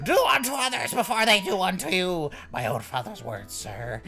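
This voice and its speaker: Someone uses a put-on character voice at a middle pitch. Clear background noise runs underneath. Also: moderate pace. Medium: game stream. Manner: loud, overexcited, keeps saying sir.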